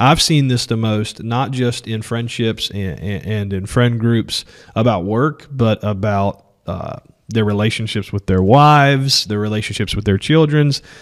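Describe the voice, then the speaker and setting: This man has a plain, everyday voice, with a medium pitch, ordinary pitch variation, and a fairly slow pace. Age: 30s. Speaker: podcast co-host, real estate agent. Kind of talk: casual chat.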